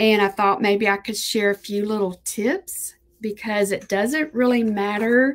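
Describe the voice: Speaking at a slow pace, a woman keeps a fairly high pitch with fairly even intonation.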